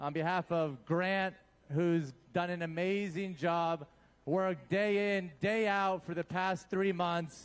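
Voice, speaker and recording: At a very slow pace, a man speaks high in pitch with fairly even intonation. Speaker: event organizer. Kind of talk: speech at charity event.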